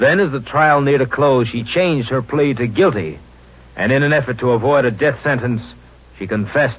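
Speaking at a moderate pace, this man has a medium pitch that varies in an ordinary way.

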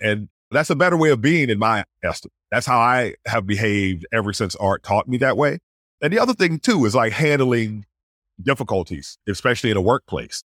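The delivery is animated and fairly quick with lively intonation, recorded very cleanly over a silent background with a dry, close sound and no echo. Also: man, medium pitch for a man, very even loudness. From US South. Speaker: astrophysicist. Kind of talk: interview.

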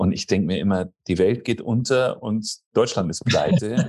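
This man speaks at a moderate pace. His pitch sits in the medium range. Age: 40s. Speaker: real estate consultant. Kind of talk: interview.

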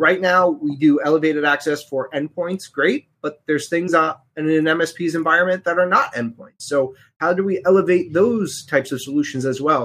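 In a normal speaking voice, a man talks at a fairly quick pace with hardly any pauses, his fairly high pitch showing ordinary variation. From New York area (Bronx-born, now Connecticut). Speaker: cybersecurity company representative. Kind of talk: casual interview. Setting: live online show.

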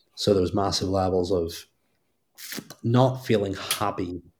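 On a very clean recording with a silent background, a man speaks at a moderate pace in a very deep, low, somewhat breathy voice. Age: 30s. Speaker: fitness business mentor. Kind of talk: interview.

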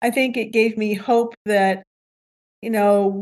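In an American accent, a woman speaks at a fairly high pitch with monotone, flat intonation and a dry, close sound with no echo. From US Midwest, northwest Ohio. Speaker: retired teacher, farmer's wife. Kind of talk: interview.

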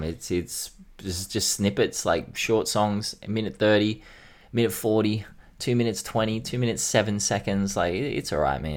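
This man has an Australian accent and a fairly low pitch. He talks at a moderate pace on a very clean recording with a silent background. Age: 30s. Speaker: hip-hop podcast co-host. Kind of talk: casual chat.

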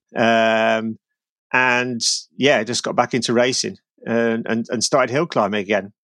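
A man with a plain, everyday voice speaks at medium pitch and a fairly slow pace, his pitch varying in an ordinary way. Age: 40s. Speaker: cyclist and author of climbing guidebooks. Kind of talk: casual chat. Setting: remote call from home basement.

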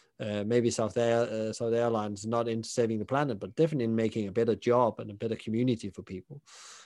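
A man's medium-pitched voice with a Danish accent, fairly even intonation and a very fast pace. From southern Denmark. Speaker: hospitality consultant and podcaster. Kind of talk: interview.

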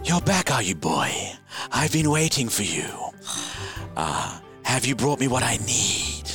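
Using a put-on character voice at a medium pitch, a man talks at a fairly slow pace with clear music in the background. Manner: menacing, demanding.

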